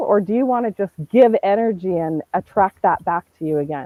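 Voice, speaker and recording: The woman's voice is loud and medium in pitch. Her pitch swings very widely. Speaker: online business owner. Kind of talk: casual chat. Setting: live stream.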